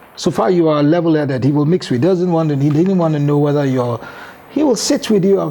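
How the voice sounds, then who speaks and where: There is noticeable background noise as a man with a fairly high pitch talks at a very fast pace. His loudness stays very even. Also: ordinary pitch variation. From Nigeria, Yoruba southwest (Lagos, Ibadan, Abeokuta). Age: 60s. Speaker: former football administrator. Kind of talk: interview. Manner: code-switching Yoruba and English.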